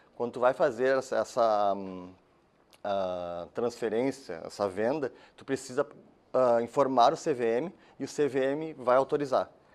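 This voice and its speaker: At a fairly slow pace, a man speaks in a medium pitch with ordinary pitch variation and big swings in loudness. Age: 30s. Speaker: course instructor. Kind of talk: lecture. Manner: halting.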